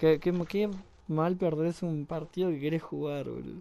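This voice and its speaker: A man's fairly high voice in a dark, mellow tone, monotone and flat, at a moderate pace. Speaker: gaming podcast host. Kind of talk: casual interview.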